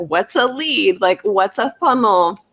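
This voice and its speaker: The woman speaks at a fairly slow pace in a plain, everyday voice. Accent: American. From Florida, US. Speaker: wellness business owner. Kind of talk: live stream interview. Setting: live video stream.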